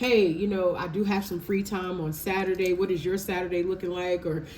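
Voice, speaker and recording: A woman at medium pitch, fairly quick and animated, over noticeable background noise. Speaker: tarot reader. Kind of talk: tarot reading. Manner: fast.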